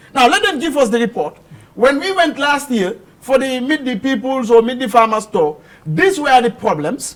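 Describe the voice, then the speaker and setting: A man at a moderate pace with an extremely high pitch and very wide pitch swings, over noticeable background noise. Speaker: political commentator. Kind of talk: heated debate. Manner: animated.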